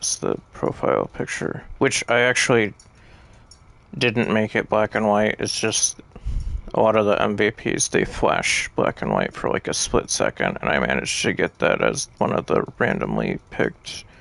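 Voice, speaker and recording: A man's mumbling at a moderate pace, with noticeable background noise. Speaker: video game streamer. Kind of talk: gameplay livestream commentary. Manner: halting.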